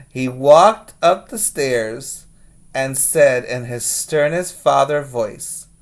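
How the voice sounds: A reading voice that sounds natural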